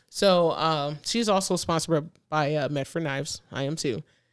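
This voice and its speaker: In a very clean recording with a silent background, a woman with an American accent speaks at a moderate pace, with fairly low pitch and ordinary pitch variation. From US, urban neighborhood. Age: 30s. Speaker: police officer and competitive shooter. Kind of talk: casual chat. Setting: studio. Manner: animated.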